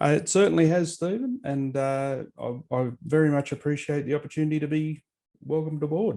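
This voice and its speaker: Speaking with an Australian accent, a man uses a fairly high pitch and a dark, mellow tone, moving at a fairly quick pace with ordinary pitch variation. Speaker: author and historian. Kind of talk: interview.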